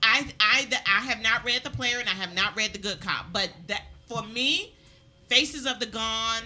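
A woman speaks with an American accent and a bright, sharp tone. Her pitch variation is ordinary. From Maryland. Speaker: talk show host. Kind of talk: casual interview. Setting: studio. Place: studio. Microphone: studio mic.

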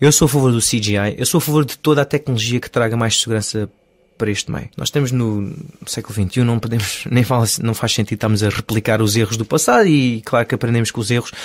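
Very fast speech from a man, medium in pitch, its pitch varying in an ordinary way. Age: 30s. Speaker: stunt coordinator. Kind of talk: interview.

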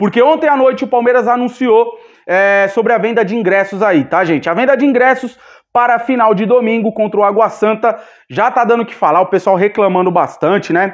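Over a quiet background, a man speaks in an animated tone at a high pitch with ordinary pitch variation. His pace is fairly quick. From Brazil. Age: 30s. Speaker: football fan channel host. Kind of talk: casual vlog commentary. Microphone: phone near.

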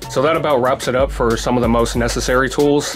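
Against clear music in the background, a man talks at a very fast pace. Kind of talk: tutorial. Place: workshop.

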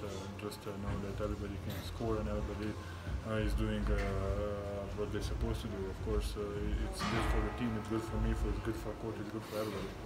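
A man rattles along at a very fast pace, with music behind him. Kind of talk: interview answer. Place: hall. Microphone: phone near.

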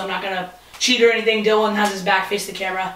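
A man projects a raised voice amid audible room echo and light background noise. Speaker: vlogger. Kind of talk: casual vlog chat.

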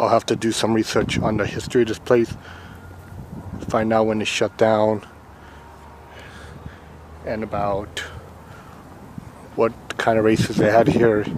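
Monotone, flat intonation comes from a man with a fairly low pitch at a moderate pace, broken by long, frequent pauses. The sound is dry with no echo, with noticeable background noise. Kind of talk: casual vlog narration. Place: open country. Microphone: phone near.

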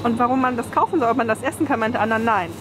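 Speaking at a very fast pace, a woman with a fairly high pitch and ordinary pitch variation is heard over clear background noise.

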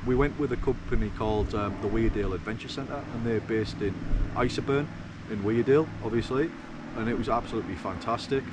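A man talks at a very fast pace with ordinary pitch variation, in a dry sound with no echo and noticeable background noise. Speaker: vlogger. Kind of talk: casual vlog chat. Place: open country. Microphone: phone near.

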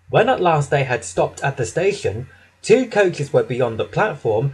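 A man's somewhat breathy voice with a gentle, animated tone at a moderate pace. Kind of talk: children's story narration with character voices. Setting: audio narration recording. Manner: gentle, animated storyteller, changing voices for each engine.

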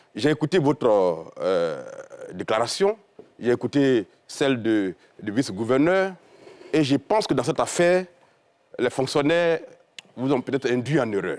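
A man with a fairly high pitch speaks at a fairly slow pace, leaving long, frequent pauses. His pitch swings very widely, and the background is quiet. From Côte d'Ivoire. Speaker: journalist and politician; guest, politician-journalist. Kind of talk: televised panel debate. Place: studio. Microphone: lapel.

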